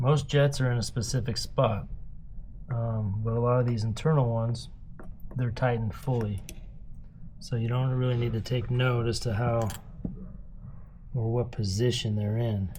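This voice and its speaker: Audible room echo surrounds a man speaking at a moderate pace in a medium pitch, his intonation monotone and flat. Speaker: DIY motorcycle mechanic. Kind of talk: tutorial. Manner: casual, halting.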